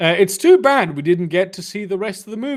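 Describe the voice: This is plain reading aloud. The intonation is lively.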